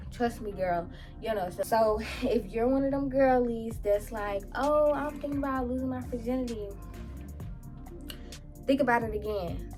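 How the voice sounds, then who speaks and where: With music in the background, a woman of fairly high pitch speaks at a moderate pace with ordinary pitch variation and long, frequent pauses. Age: young. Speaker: young mother. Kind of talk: casual talk to camera. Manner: chatty, animated.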